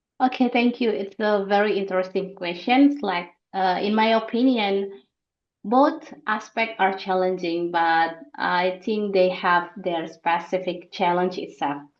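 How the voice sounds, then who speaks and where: A woman speaks with an Indonesian accent. She keeps a fairly slow pace. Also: medium pitch for a woman, ordinary pitch variation. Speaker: researcher, international student. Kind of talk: podcast interview.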